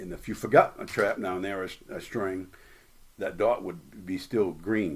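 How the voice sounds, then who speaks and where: With fairly even intonation, a man talks in a very deep, low voice. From Maine. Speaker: lobster fisherman. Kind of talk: interview storytelling.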